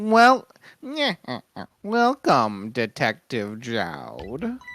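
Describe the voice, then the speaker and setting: Someone uses a put-on character voice, speaking at a very slow pace. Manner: sinister, drawn-out.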